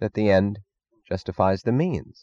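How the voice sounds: The background stays quiet. Pitch varies in an ordinary way in this natural reading voice.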